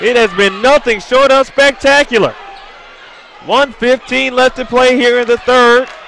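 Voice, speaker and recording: Against noticeable background noise, a man talks at a fairly slow pace in an extremely high pitch. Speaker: play-by-play commentator. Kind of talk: live commentary. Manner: loud; animated.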